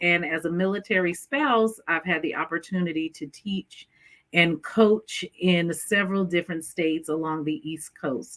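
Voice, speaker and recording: Bright, sharp speech from a woman with an American accent, medium in pitch, fairly slow, with ordinary pitch variation. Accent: New York accent, comes out when excited. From New York. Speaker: education specialist. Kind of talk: interview.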